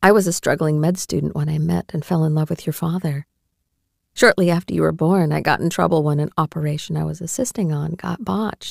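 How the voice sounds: Doing a put-on character voice, a woman speaks low with a slightly mellow tone, vocal fry and fairly even intonation, in a dry, close sound with no echo. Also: fairly quick pace.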